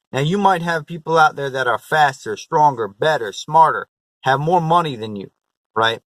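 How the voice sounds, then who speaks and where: In an unremarkable speaking voice, a man talks at a moderate pace with a fairly high pitch and lively intonation, the sound dry and close with no echo. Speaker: motivational vlogger. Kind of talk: motivational vlog talk.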